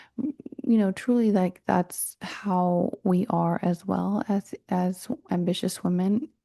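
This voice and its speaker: A woman with a medium pitch and a dark, mellow tone speaks at a very slow pace, with ordinary pitch variation and hardly any pauses. Her loudness stays very even, and the sound is dry and close with no echo. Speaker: podcast host and mindset coach. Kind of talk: solo podcast talk. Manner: casual, with fillers and restarts.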